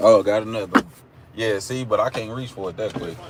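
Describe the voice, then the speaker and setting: Noticeable background noise surrounds a man with an Oklahoma accent. He talks fairly quickly with fairly even intonation. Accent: country (Oklahoma). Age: 30s. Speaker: live streamer. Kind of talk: casual chat. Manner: casual, repetitive fillers.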